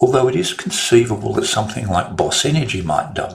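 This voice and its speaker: A man talks at a fairly quick pace with an Australian accent. His pitch sits in the medium range. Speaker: trader and market analyst. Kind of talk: market commentary monologue.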